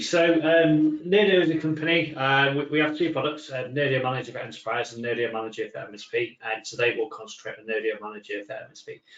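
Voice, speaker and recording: A man with a fairly high pitch and ordinary pitch variation talks fairly quickly while noticeable background noise carries on. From northern England, Manchester. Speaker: software company technical executive. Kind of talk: webinar presentation. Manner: hesitant, many fillers.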